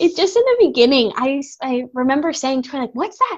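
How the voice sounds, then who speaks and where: Her pitch high and its variation ordinary, a woman speaks with an American accent. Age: 20s. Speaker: former music student. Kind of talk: casual chat.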